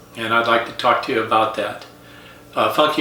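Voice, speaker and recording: Amid noticeable background noise and audible room echo, a man with an American accent talks with ordinary pitch variation. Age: 70s. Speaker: retired teacher, coach and golf instructor. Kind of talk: casual vlog monologue.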